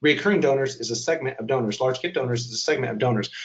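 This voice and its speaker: A man speaks in a medium-pitched, somewhat breathy voice. His pitch varies in an ordinary way. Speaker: webinar presenter on digital fundraising. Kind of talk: webinar presentation. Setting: online webinar. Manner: fast.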